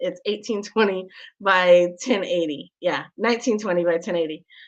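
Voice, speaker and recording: Speaking fairly slowly at a medium pitch, a woman has a plain, everyday voice with ordinary pitch variation. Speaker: show host and tech tutorial presenter. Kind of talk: live screen-share tutorial. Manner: casual with many fillers.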